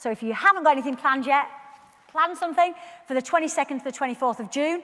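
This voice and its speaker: Over noticeable background noise, a woman with a high voice and a Yorkshire accent talks with very wide pitch swings. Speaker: community campaigner. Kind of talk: public talk. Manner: fast; repetitive false starts.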